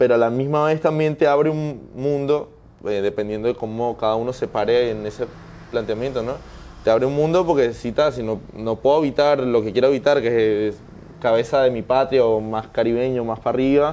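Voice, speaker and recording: The man speaks at a fairly quick pace. His medium-pitched voice shows ordinary pitch variation. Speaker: interviewee, migrant. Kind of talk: interview conversation. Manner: hesitant, with many fillers and restarts.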